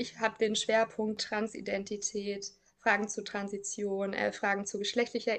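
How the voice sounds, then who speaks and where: Fairly slow speech from a woman with a fairly high pitch. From Thuringia, Germany. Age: 30s. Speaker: counsellor at queer youth centre. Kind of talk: personal interview.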